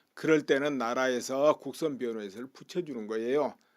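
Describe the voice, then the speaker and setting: Recorded very cleanly against a silent background, a man talks at a moderate pace in a plain, everyday voice with a fairly high pitch. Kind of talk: political commentary talk. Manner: casual, conversational.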